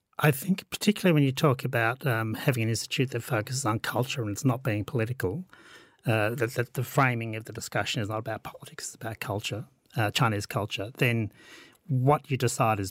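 Speaking at a fairly quick pace, a man with a medium pitch and ordinary pitch variation sounds somewhat breathy on a very clean recording with a silent background. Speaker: historian. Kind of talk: academic panel discussion.

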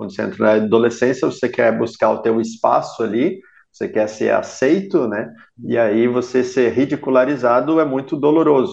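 This man has an ordinary speaking voice at a medium pitch. He talks at a moderate pace with lively intonation. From Blumenau, Santa Catarina, southern Brazil. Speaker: ultra-endurance triathlete. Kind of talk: interview conversation.

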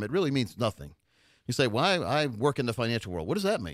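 A man's medium-pitched voice with vocal fry and very wide pitch swings at a very fast pace, on a very clean recording with a silent background. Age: 50s. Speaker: financial advisor and radio host. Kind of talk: radio talk show. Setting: studio.

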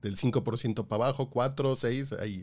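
A man speaks at a medium pitch in a very clean recording against a silent background. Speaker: podcast co-host. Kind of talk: casual news chat.

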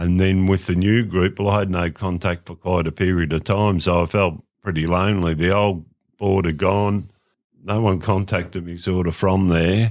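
On a very clean recording with a silent background, a man with an Australian accent speaks at a moderate pace in a very deep, low voice with monotone, flat intonation. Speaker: former football club administrator. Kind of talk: casual chat.

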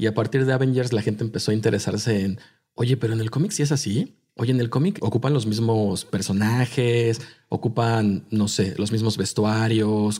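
Speaking at a moderate pace, a man with a medium-pitched, dark, mellow and somewhat breathy voice keeps a fairly even intonation on a very clean recording with a silent background. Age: 30s. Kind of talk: casual chat.

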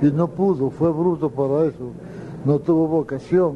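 Noticeable background noise fills the clip. Through it, a man talks with ordinary pitch variation. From Colombian Caribbean, Valledupar area. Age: old. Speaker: accordionist. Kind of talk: interview, storytelling. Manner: halting.

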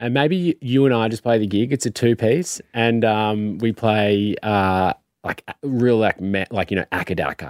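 Speaking with an Australian accent at a medium pitch, a man keeps a moderate pace with hardly any pauses and ordinary pitch variation, and the sound is dry and close with no echo on a very clean recording with a silent background. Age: 30s. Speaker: musician. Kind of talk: casual chat. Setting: studio.

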